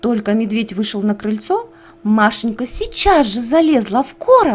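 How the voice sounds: Her voice fairly high, a woman speaks at a moderate pace with lively intonation.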